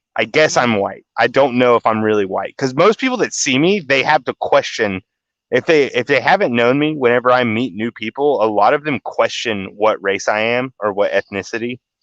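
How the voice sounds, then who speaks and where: Over a dry, close sound with no echo, a man at medium pitch speaks at a moderate pace with lively intonation and hardly any pauses. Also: quiet background. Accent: Southern US. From US South. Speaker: podcast host. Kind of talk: casual chat.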